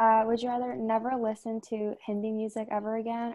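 A woman speaks at a fairly high pitch in a plain, everyday voice. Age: 20s. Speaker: university student. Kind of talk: casual chat.

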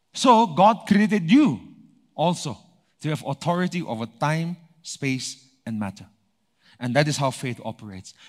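Pitched fairly high, a man talks at a moderate pace with very wide pitch swings. He leaves long, frequent pauses. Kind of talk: sermon. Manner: animated, rhythmic call-and-response preaching, driving each point home with repetition; pausing to ask the congregation for amens.

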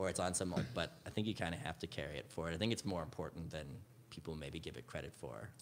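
A man with a Canadian accent speaks at a very fast pace, with vocal fry. His very deep, low voice carries lively intonation. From Canada, Edmonton, Alberta. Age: 20s. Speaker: musician. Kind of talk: casual chat. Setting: studio.

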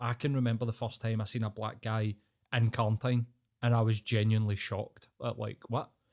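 A man speaks with a Scottish accent at a fairly quick pace and medium pitch. The recording is very clean, with a silent background. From Scotland. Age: 30s. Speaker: podcast guest. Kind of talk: casual chat.

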